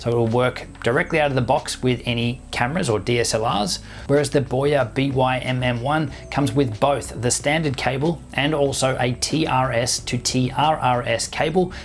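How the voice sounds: At a moderate pace with few pauses, a man speaks at a medium pitch with ordinary pitch variation over faint background noise.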